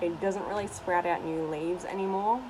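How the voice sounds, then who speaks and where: Over music in the background and audible room echo, a woman speaks at a moderate pace. Her intonation is fairly even. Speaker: YouTuber. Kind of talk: casual vlog tour.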